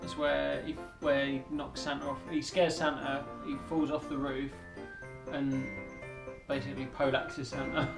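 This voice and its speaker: Clear music plays behind a man who talks at a moderate pace with long, frequent pauses. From England. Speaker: vlogger. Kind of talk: casual talk to camera. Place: home room. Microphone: camera far.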